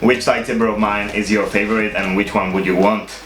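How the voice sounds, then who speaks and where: There is music in the background and audible room echo. A man with a non-native accent speaks in a monotone, flat intonation. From Czech Republic. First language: not English. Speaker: YouTuber, lightsaber spinner. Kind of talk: casual show-and-tell video. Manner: hesitant, many uh fillers.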